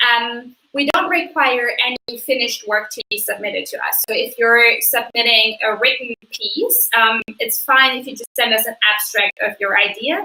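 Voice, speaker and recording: A woman with a non-native accent talks at a moderate pace and a high pitch, with ordinary pitch variation and hardly any pauses, in a dry, close sound with no echo. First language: not English. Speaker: magazine editor. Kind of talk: live stream Q&A. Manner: hesitant with many fillers.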